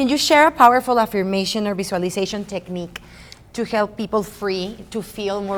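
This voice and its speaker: Fairly brisk speech from a woman at a medium pitch. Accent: Spanish. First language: Spanish. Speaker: podcast host. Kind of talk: interview.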